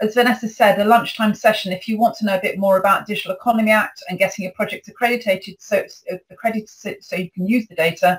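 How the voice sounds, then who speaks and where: A woman talks at a very fast pace in a somewhat breathy voice with fairly even intonation. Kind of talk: conference welcome talk. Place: home room. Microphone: webcam.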